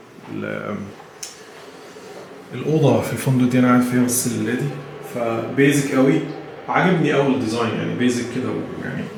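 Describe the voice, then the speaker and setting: A man's medium-pitched voice at a moderate pace, fairly even in intonation, with audible room echo and noticeable background noise. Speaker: travel vlogger. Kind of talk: travel vlog. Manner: casual, hesitant with fillers.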